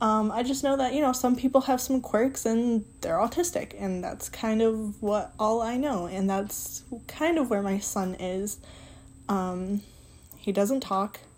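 A woman with an American accent speaks at a fairly slow pace, her voice somewhat breathy. Her pitch sits fairly high, with ordinary variation. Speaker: podcast host. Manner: casual, conversational, self-deprecating.

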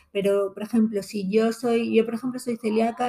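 A woman's dark, mellow tone in a flat monotone. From Spain, Alicante. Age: 40s. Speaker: blogger. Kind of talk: interview.

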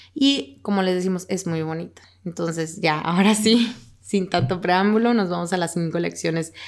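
On a very clean recording with a silent background, a woman has a plain, everyday voice, ordinary pitch variation and a moderate pace. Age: 20s. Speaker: podcast co-host. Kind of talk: casual chat about a book.

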